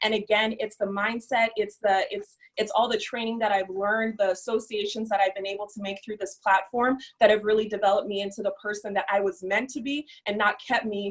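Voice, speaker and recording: A woman's fairly quick delivery in a flat, monotone intonation. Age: young. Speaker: entrepreneur, former social worker. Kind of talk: testimony.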